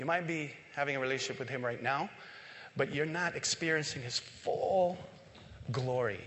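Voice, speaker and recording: The man's voice sits at a fairly high pitch with ordinary pitch variation. Audible room echo surrounds it. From Philippines. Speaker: church member. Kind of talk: sermon. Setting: church.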